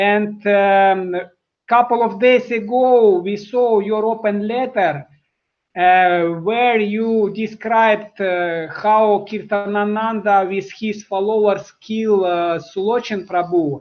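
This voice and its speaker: A man with a Russian accent speaks very slowly in a high pitch with fairly even intonation. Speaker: interviewer. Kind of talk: interview. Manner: halting.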